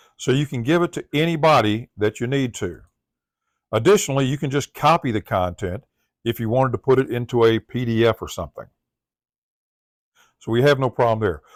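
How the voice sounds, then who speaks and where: A man with a Southern US accent speaks at a medium pitch with ordinary pitch variation, in a very clean recording with a silent background and a dry, close sound with no echo. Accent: Southern US accent, drawl. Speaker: tech tutorial presenter. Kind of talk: tutorial.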